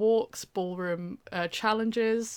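The speech moves very slowly with ordinary pitch variation. It is delivered in a British accent. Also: woman. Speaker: university student. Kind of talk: casual chat. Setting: online recording.

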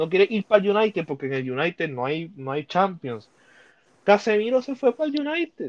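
A man speaks at a fairly quick pace in a high pitch, with very wide pitch swings and an animated tone. The sound is dry and close, with no echo. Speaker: sports podcast host. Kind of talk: casual chat.

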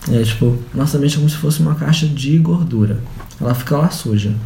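A man speaks over noticeable background noise. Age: 20s. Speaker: holistic therapist. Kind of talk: casual chat. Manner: halting.

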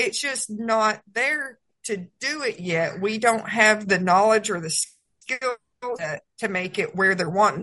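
A woman with a Southern US accent speaks very slowly in a bright, sharp tone, her fairly high voice showing ordinary pitch variation. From Georgia, US South. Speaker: Senate candidate and horse trainer. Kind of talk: radio interview. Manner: halting.

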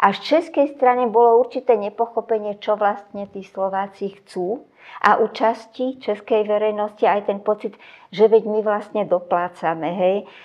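A woman talks at a moderate pace in a fairly high pitch. Her pitch variation is ordinary. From Czechoslovakia (Slovakia). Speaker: sociologist. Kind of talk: interview. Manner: hesitant with fillers.

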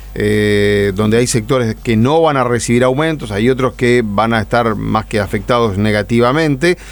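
Against noticeable background noise, a man with medium pitch talks at a moderate pace with ordinary pitch variation, very even loudness and hardly any pauses. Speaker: radio co-host. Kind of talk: radio interview.

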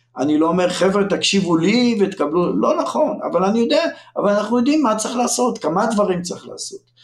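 A man with a high voice talks at a fairly quick pace, and room echo can be heard. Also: lively intonation. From Israel, northern kibbutz. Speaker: education professor. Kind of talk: podcast interview.

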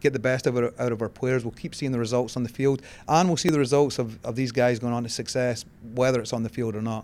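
Very fast speech comes from a man with a Scottish accent, at a medium pitch with ordinary pitch variation. The recording is very clean, with a silent background. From Scotland. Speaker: college soccer coach. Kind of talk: interview.

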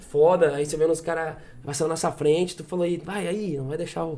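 A man speaks in a normal speaking voice at a fairly quick pace, his pitch fairly high and his intonation fairly even. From southern Brazil (Rio Grande do Sul). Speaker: singer-songwriter. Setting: studio, drinking with hosts.

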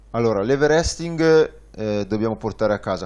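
This man has a plain, everyday voice with lively intonation. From northern Italy, Varese. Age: 30s. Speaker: tandem cycling guide pilot. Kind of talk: interview. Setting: studio.

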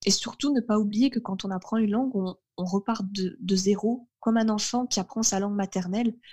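A woman speaks at a moderate pace and medium pitch, somewhat breathy with a dark, mellow tone and ordinary pitch variation, in a dry, close sound with no echo. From northern France. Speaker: translator and French tutor. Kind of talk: casual interview chat.

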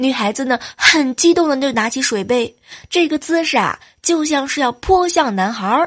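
With a high pitch and lively intonation, a woman speaks at a moderate pace. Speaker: podcast host. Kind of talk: comedic monologue. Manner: animated; laughing often.

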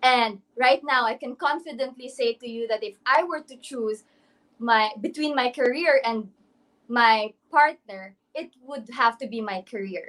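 A woman with a high pitch speaks at a fairly slow pace. Her loudness swings widely, while her pitch variation is ordinary. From Misamis Oriental, Philippines. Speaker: beauty pageant contestant. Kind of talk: interview answers. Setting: Facebook Live stream.

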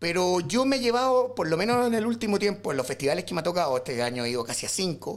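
A man's pitch swings very widely as he talks very fast. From Chile, rural O'Higgins region. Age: 30s. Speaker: illustrator and visual artist. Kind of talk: casual chat.

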